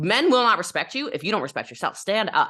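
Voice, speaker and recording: Loud and animated, a woman speaks with very wide pitch swings. Her tone is bright and sharp. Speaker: network marketer and business coach. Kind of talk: podcast interview.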